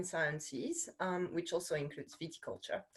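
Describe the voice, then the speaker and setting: This is a woman speaking. She talks with a French accent. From France. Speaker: course director, wine science researcher. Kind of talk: information webinar presentation. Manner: hesitant, many fillers.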